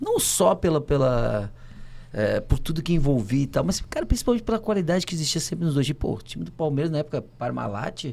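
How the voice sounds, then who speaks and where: Talking at a fairly quick pace, a man with a fairly high voice sends his pitch through very wide swings. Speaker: former footballer. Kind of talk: casual chat. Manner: animated.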